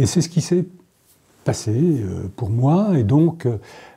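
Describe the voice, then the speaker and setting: A man speaks in a dark, mellow, somewhat breathy tone. His pace is very slow, yet his intonation is lively. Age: 70s. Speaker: novelist. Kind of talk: interview. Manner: hesitant, many fillers.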